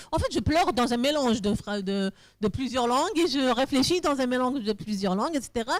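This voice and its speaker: A woman talks at a moderate pace. Her pitch swings very widely. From Algeria (Kabylie). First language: Kabyle-French mix (speaking French). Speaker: novelist and literature professor. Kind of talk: literary talk Q&A. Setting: stage with audience. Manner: halting, many restarts.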